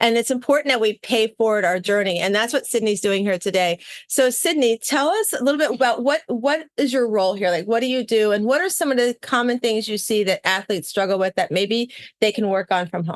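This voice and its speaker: A woman has a normal speaking voice, fairly high in pitch, with lively intonation. She talks at a fairly quick pace with hardly any pauses, in a dry, close sound with no echo. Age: 60s. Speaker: podcast host interviewing athletes. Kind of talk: casual interview. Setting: on location at a training facility.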